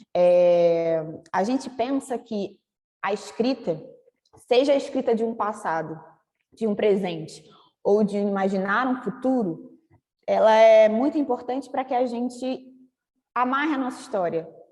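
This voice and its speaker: With a dark, mellow tone and fairly high pitch, a woman talks at a fairly slow pace with lively intonation and long, frequent pauses. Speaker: creative writing workshop teacher. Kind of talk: online workshop lecture.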